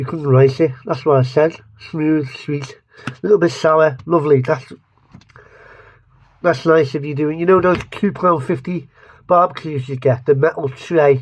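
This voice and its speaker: With an English accent, a man speaks at a fairly high pitch with fairly even intonation and long, frequent pauses. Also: moderate pace. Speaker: food reviewer. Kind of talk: casual taste-test review to camera. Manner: rambling, self-interrupting.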